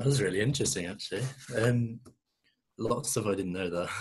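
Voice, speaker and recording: A man talks with an English accent and a somewhat breathy voice. His pitch varies in an ordinary way. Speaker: student podcast presenter. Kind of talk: prepared talk. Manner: halting, many fillers.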